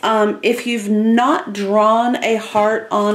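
A woman talks at a very slow pace. Light background noise sits behind her. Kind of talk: tutorial. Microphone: camera far.

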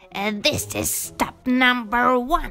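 Music plays in the background, along with some hissing. A woman uses a high-pitched, put-on character voice. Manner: hissing, sly.

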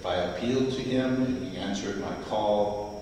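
A man at a fairly slow pace, with strong room echo and light background noise. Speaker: lector. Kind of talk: scripture reading and fervent prayer. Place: church.

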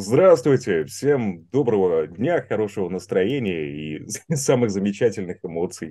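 A dark, mellow tone at a fairly slow pace, with very wide pitch swings. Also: man, fairly low pitch for a man. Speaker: voice performer. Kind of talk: interview answers. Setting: video call. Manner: supported breath, resonant projection.

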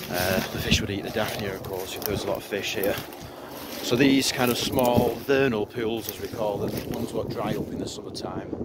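A man talks at a fairly quick pace in a dry sound with no echo. Loud background noise runs behind him. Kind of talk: casual vlog tutorial. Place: open country. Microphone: phone near.

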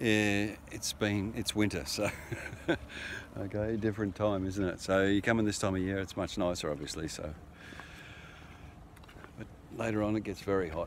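With long, frequent pauses, a man speaks at a moderate pace in a fairly low voice with fairly even intonation, the sound dry with no echo and light background noise present. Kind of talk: casual vlog chat. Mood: relaxed, amused. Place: beach. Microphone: phone near.

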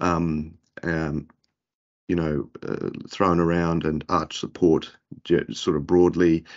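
A man with an Australian accent, a very deep, low pitch and monotone, flat intonation, at a very slow pace with long, frequent pauses over a quiet background. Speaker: podiatrist. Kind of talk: interview. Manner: halting. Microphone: earbuds.

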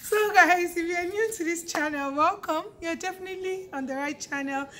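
A woman speaks at a moderate pace over light background noise. Her voice is extremely high, with a bright, sharp tone. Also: ordinary pitch variation. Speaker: YouTuber host. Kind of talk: casual vlog chat. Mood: cheerful, laughing. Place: street. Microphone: phone near.

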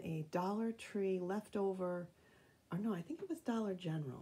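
A somewhat breathy woman at a medium pitch, speaking at a fairly slow pace. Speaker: craft video maker. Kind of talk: craft tutorial. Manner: casual, with many fillers.

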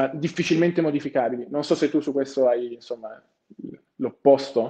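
Against a quiet background, a man speaks with fairly even intonation in a dark, mellow tone. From Turin, Italy. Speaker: finance graduate trainee. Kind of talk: webinar talk. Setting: video call. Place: office. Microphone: earbuds.

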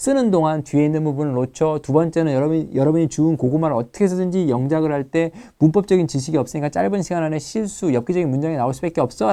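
Over a quiet background, a man talks at a very fast pace with hardly any pauses. His fairly high voice has a dark, mellow tone and ordinary pitch variation. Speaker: TOEFL writing instructor. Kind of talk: lecture.

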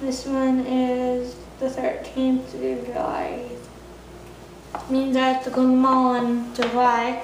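Monotone, flat intonation at a slow pace, with audible room echo. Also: woman, high pitch for a woman.

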